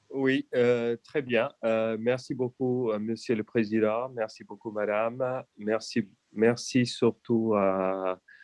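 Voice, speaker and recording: With a non-native accent, a man speaks at a very slow pace in a monotone, flat intonation, leaving hardly any pauses, in a dry, close sound with no echo. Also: medium pitch for a man. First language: not French (speaking French). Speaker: EU official. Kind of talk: conference talk. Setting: video call. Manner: halting.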